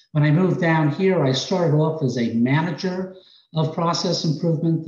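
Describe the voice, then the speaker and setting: A man with an American accent, a dark, mellow tone, somewhat breathy delivery and a moderate pace. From New York. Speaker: healthcare process improvement director.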